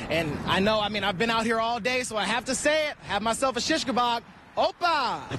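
Over noticeable background noise, a man with an extremely high pitch uses a raised, projected voice, an upbeat tone and lively intonation at a fairly quick pace. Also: dry sound with no echo. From Atlanta, Georgia. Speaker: TV news anchor and reporter. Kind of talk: live TV news stand-up.

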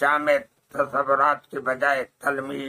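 A man speaks very slowly. His intonation is flat and monotone. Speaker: reader of a literary text. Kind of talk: formal reading of an essay. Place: shop. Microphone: phone near.

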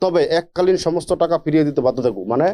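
This man has a high pitch. His tone is dark and mellow. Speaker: lawyer. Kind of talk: reading aloud.

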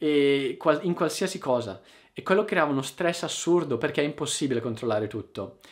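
Over a quiet background, a man speaks at a fairly quick pace with a fairly high pitch and ordinary pitch variation. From Italy. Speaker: online Italian teacher; language teacher youtuber. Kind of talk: casual monologue to viewers; casual vlog chat. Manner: informal, with hesitations. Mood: reflective, warm. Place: home room.

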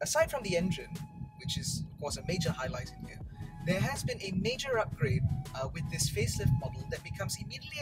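Over loud music in the background, a man speaks at a very fast pace. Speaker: car reviewer. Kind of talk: car review commentary. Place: car. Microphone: lapel.

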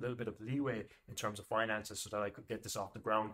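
In an Irish accent, the speaker goes at a very fast pace with a bright, sharp tone. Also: man. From Ireland. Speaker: business coach. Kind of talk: monologue tutorial to camera. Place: home room.

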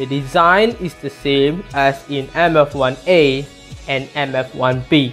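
The speaker has a Malay accent. Music plays in the background. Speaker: gas mask collector. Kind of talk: educational narration.

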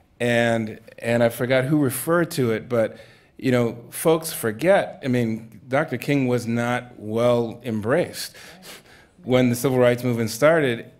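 In an American accent, a man speaks at a fairly slow pace with ordinary pitch variation. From Massachusetts. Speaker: Baptist minister and foundation program director; Baptist minister. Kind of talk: panel discussion. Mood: thoughtful, earnest. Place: stage. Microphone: studio mic.

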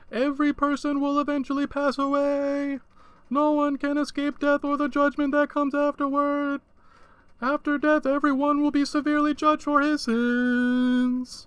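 A man's put-on character voice, extremely high and monotone with flat intonation. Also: moderate pace. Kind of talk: reading aloud from a book. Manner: calm monotone.

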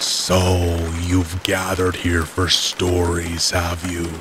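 A man puts on a hoarse character voice with a very deep, low pitch. He speaks at a very slow pace over clear background noise. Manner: strained.

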